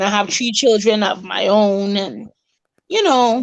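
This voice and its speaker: A woman's fairly high voice in a Virgin Islands accent at a very slow pace. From US Virgin Islands, Saint Thomas. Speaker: recreation center worker. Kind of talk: interview.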